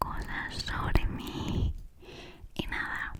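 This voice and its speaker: Noticeable background noise runs through the clip. Under it, a woman whispers. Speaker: ASMR creator. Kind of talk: ASMR personal talk. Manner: whispered.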